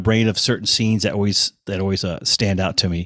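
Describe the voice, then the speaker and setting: An ordinary speaking voice moves at a fairly quick pace on a very clean recording with a silent background. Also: man. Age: 50s. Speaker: touring bassist. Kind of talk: casual chat.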